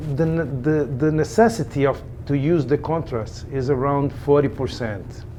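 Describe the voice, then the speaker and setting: With a Brazilian Portuguese accent, a man talks at a fairly slow pace and a fairly high pitch with ordinary pitch variation. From Brazil, Rio de Janeiro. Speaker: echocardiographer. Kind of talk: interview. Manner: halting, many repetitions and fillers.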